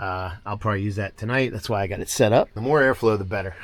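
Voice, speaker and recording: Quietly and very fast, a man speaks at a medium pitch. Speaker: van life vlogger. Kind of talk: casual van tour vlog. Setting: outdoors at a campground. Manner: quiet, keeping voice down.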